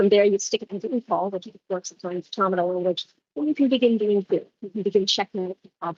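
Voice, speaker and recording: Very fast and with big swings in loudness, a woman's medium-pitched voice carries ordinary pitch variation in a dry, close sound with no echo. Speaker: senior researcher giving a keynote. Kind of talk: conference keynote talk. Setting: conference room with audience, livestreamed.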